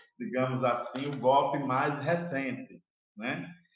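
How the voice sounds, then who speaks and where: Fairly slow speech from a man with a fairly high pitch, with audible room echo. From Brazil, interior of Alagoas. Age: 40s. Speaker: LGBT activist. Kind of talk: live panel debate. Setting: online live stream.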